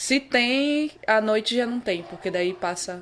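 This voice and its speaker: Very slow and with lively intonation, a woman speaks in a very clean recording with a silent background. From Pará, northern Brazil (Vigia). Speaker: footballer. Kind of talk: interview.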